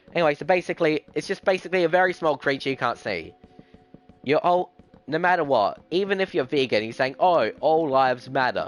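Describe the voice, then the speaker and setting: Over music in the background, a man with an Australian accent and a fairly high pitch speaks at a fairly quick pace in a dry, close sound with no echo. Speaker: gaming streamer. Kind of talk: live stream chat while gaming. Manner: fast; halting, with restarts.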